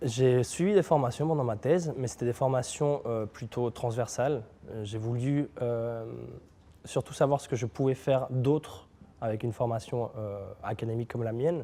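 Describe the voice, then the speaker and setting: At a moderate pace, a man with a medium-pitched, dark, mellow voice talks with ordinary pitch variation. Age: 20s. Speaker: neuroscience PhD and start-up founder. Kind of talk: interview. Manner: hesitant, many filler sounds.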